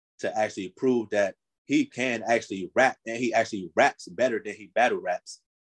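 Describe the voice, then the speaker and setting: Someone with a New Jersey accent talks at a moderate pace, the sound dry and close with no echo. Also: man, big swings in loudness. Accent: New Jersey urban American English. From North New Jersey. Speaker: rap artist manager and entrepreneur. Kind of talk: casual interview.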